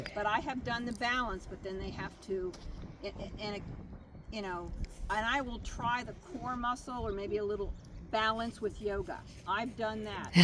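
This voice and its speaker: Speaking at a moderate pace, a woman uses a fairly high pitch and fairly even intonation, with audible room echo around her. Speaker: riding therapy mentor trainer. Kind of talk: training talk to volunteers.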